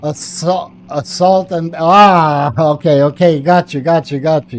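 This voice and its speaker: The speaker has a non-native accent and a fairly slow pace. Noticeable background noise is present. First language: not English. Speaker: gaming streamer. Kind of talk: live gameplay commentary. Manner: casual, chatty.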